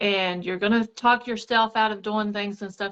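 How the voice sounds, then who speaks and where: Against a quiet background, a woman with a fairly high pitch speaks at a fairly slow pace. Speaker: network marketing seller. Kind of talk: casual live stream chat. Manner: shaky voice.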